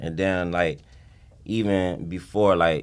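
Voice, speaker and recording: A man speaks in a flat monotone. He has an American accent. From South Florida (Broward County, Pompano Beach), Haitian family. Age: 20s. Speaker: rapper. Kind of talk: casual interview. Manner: laid-back, filler-heavy speech.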